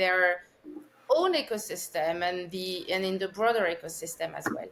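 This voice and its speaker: In a French accent, a woman talks at a fairly slow pace, her pitch varying in an ordinary way. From France, Paris. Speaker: consciousness researcher, former finance executive. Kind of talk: podcast interview.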